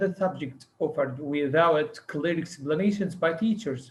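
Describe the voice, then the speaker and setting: A man with an Arabic accent speaks at a fairly slow pace with lively intonation. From Egypt. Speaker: English teacher. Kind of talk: conference presentation.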